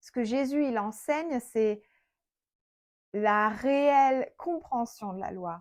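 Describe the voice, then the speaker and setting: Speaking very slowly at a high pitch, a woman uses lively intonation, big swings in loudness, and long, frequent pauses. The recording is very clean, with a silent background. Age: 30s. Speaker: Bible teacher. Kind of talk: Bible study teaching. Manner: conversational.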